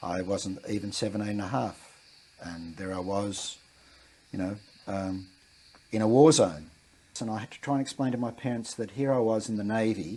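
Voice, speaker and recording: In an Australian accent, the speaker moves at a moderate pace with ordinary pitch variation, big swings in loudness and long, frequent pauses. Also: man, fairly low pitch for a man. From Western Australia. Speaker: war veteran. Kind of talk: interview. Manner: halting.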